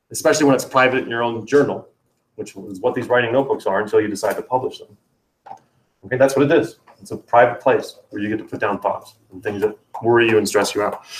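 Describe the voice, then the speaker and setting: Loudness swings widely as a man talks at a very fast pace. His pitch is medium, with ordinary pitch variation. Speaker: writing teacher. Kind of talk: classroom lesson.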